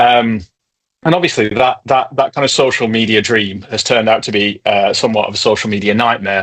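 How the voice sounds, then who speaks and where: A man with a northern English accent talks at a fairly quick pace and a medium pitch. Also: ordinary pitch variation. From northern England. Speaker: tech company co-founder. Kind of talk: webinar presentation.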